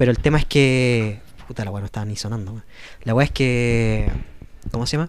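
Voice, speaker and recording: A man with a Chilean accent at a fairly quick pace, big swings in loudness and long, frequent pauses. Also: medium pitch for a man, fairly even intonation. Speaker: podcast co-host. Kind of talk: casual chat.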